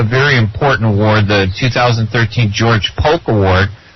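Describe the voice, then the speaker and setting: A man talks at a moderate pace in a Chicago accent, his pitch medium with ordinary variation. Noticeable background noise runs underneath. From US, Chicago. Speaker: radio co-host, journalist. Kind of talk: radio interview.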